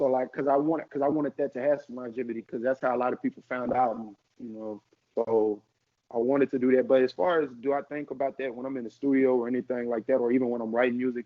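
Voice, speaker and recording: Speaking at a very fast pace, a man holds a medium pitch. His intonation stays fairly even. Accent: American. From US South, Arkansas and St. Louis family. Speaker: rapper. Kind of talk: casual interview.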